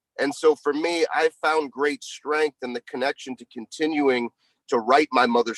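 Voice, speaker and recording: A man's fairly high-pitched voice, a normal speaking voice, with fairly even intonation and a moderate pace, dry and close with no echo. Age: 40s. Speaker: performance coach and speaker. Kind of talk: live audio room conversation.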